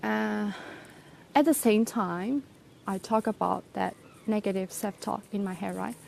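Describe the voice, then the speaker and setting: Speaking with a non-native accent, a woman talks at a fairly slow pace with long, frequent pauses. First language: not English. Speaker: English teacher. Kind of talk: personal vlog reflection. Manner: halting, many fillers.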